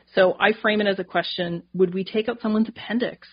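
A woman speaks at a moderate pace with medium pitch and ordinary pitch variation. Her voice is somewhat breathy. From Canada, northern New Brunswick. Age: 40s. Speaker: dietitian and naturopathic doctor. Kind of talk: interview conversation.

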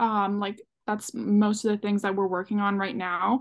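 A woman with an ordinary speaking voice, medium pitch and a fairly quick pace, against a quiet background. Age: 20s. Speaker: social media creator. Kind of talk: casual chat.

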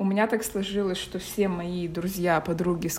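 The woman's voice sits at a medium pitch. She talks at a moderate pace. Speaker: podcast co-host. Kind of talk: casual chat.

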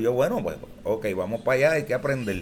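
Over noticeable background noise, a man speaks very fast. His pitch sits in the medium range. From Puerto Rico, Barrio Obrero, San Juan. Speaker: plena singer. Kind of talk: casual interview.

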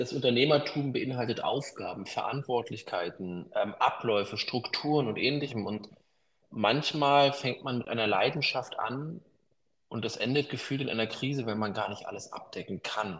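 A plain, everyday voice from a man, medium in pitch, with ordinary pitch variation and a moderate pace. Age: 30s. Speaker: business consultant. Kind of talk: interview.

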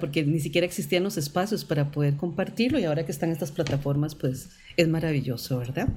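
Fairly quick speech with music in the background. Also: woman. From Costa Rica. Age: 50s. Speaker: visual artist and photographer. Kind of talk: interview, personal life story.

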